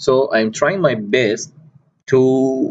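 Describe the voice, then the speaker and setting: This is a man speaking. His pitch is medium. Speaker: software tutorial creator. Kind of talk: tutorial.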